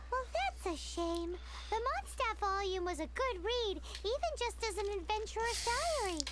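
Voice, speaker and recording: Over loud background noise, someone performs a put-on character voice at an extremely high pitch. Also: moderate pace. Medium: game stream.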